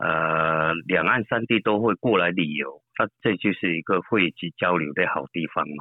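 Here a man speaks with a very deep, low pitch. His pace is fairly slow, with ordinary pitch variation. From Fujian, Shishi/Quanzhou. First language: Southern Min (speaking Chinese). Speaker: apartment business owner. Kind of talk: interview. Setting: phone call.

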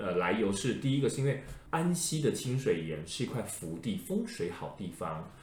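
Moderate pace and very wide pitch swings amid audible room echo. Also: man, medium pitch for a man. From Taiwan, Changhua (Lukang/Erlin area). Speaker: podcast host, folklore expert. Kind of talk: casual chat.

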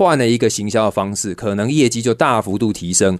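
A man speaks at a fairly quick pace in a plain, everyday voice, with medium pitch and ordinary pitch variation. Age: 30s. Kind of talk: radio interview.

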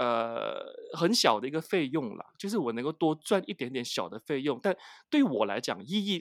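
Here a man's pitch swings very widely at a moderate pace. The recording is very clean with a silent background, and the sound is dry and close with no echo. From Malaysia, Penang. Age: 40s. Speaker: advertising manager. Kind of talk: interview. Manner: halting, many fillers.

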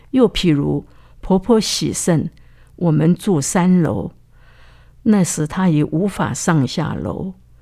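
In a very clean recording with a silent background, a woman speaks at a very slow pace with long, frequent pauses, lively intonation, vocal fry, a dark, mellow tone and a fairly low pitch. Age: 80s+. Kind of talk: testimony.

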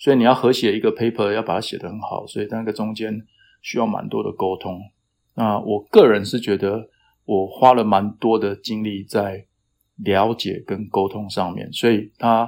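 A man talks at a moderate pace in a fairly low pitch. His intonation is monotone and flat. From Taiwan (Taitung). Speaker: climate science professor. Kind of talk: interview. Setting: remote call. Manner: hesitant, many fillers.

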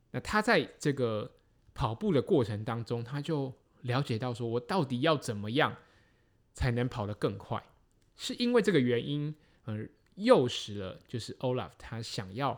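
Speaking at a fairly slow pace, a man uses lively intonation at a medium pitch. The recording is very clean, with a silent background. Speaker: triathlon podcast host. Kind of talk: solo podcast monologue. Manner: frequent fillers and hesitations.

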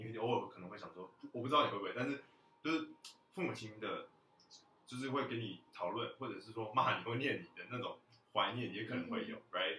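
Very fast male speech with big swings in loudness. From Taiwan, moved to US at about 13. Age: 20s. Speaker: college student, former exchange student. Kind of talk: casual chat.

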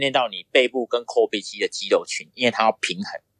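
A man talks at a fairly quick pace with lively intonation and an ordinary speaking voice. The sound is dry and close, with no echo. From Taiwan, Pingtung County (southern Taiwan). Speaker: triathlete and boxing coach. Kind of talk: interview.

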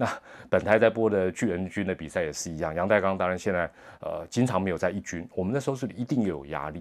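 Lively intonation marks a man's speech at a fairly low pitch. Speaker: sports commentator and podcast host. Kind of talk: monologue podcast commentary. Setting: hotel room. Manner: soft-spoken; hesitant with many fillers.

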